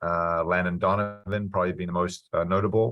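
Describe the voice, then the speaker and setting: Monotone and flat, a man with a very deep, low pitch speaks with a New Zealand accent on a very clean recording with a silent background. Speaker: college soccer coach. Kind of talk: interview.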